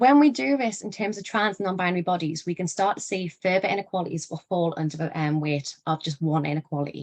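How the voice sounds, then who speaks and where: With a northeast English accent, a woman speaks at a very fast pace with hardly any pauses, her pitch fairly low and her intonation lively. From northeast England. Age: 20s. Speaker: educator / speaker on human rights. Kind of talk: lecture. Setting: online live event.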